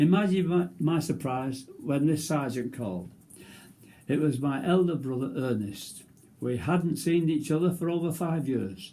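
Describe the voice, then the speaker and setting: Somewhat breathy and dark, mellow in tone, a man's fairly high voice moves fairly slowly with lively intonation amid audible room echo. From northern England. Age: 90s. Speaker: war veteran. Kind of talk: reading aloud; casual chat. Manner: halting.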